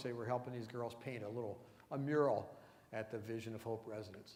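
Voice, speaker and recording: Fairly quick male speech amid audible room echo. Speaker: missionary reporting on a mission trip. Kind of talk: church presentation with slides. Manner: fast.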